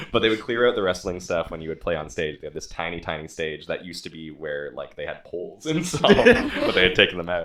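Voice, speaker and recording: The speech runs at a very fast pace with hardly any pauses and big swings in loudness over noticeable background noise. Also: man. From Victoria, Canada. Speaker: musician. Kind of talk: casual chat.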